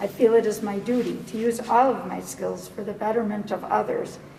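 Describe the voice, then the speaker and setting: A woman with an American accent at a moderate pace, with audible room echo and noticeable background noise. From US Midwest, Merrill, Wisconsin. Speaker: physician applying for school board seat. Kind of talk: prepared public statement. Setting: public board meeting. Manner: formal.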